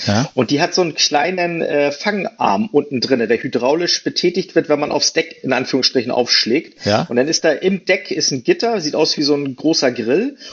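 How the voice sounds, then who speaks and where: Fairly quick speech from a man, pitched fairly high and swinging very widely in pitch. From Hamburg, northern Germany. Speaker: rescue helicopter pilot. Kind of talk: casual interview. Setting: video call.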